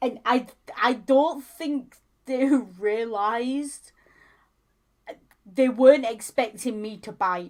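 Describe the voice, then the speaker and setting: Speaking with a strong Yorkshire accent, a woman with a high pitch moves at a very slow pace through long, frequent pauses, her loudness swinging widely while her pitch varies in an ordinary way. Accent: thick Yorkshire. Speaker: streamer co-host. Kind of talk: casual chat.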